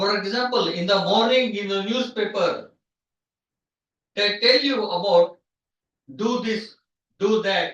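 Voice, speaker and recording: A loud man speaks in a high pitch with fairly even intonation. Long pauses come often. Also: fairly slow pace. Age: 50s. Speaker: professor. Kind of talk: lecture. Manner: halting.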